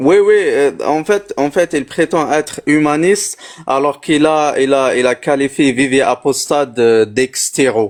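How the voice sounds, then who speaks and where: A man with an Algerian accent speaks very slowly in a fairly high voice with ordinary pitch variation. His loudness stays very even. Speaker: livestream guest. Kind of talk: heated debate. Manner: halting.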